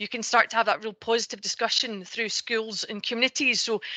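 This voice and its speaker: Speaking with a Scottish accent, a woman talks at a fairly quick pace in a fairly high pitch with monotone, flat intonation. Her tone is bright and sharp, and the sound is dry and close with no echo. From Scotland, Ayrshire. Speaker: energy sector panelist. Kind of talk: online panel discussion.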